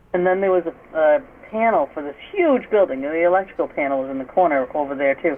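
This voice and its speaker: This woman talks at a very fast pace with a fairly low pitch and lively intonation, in a Massachusetts accent. Noticeable background noise runs underneath. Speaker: paranormal investigator. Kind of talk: interview. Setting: radio show.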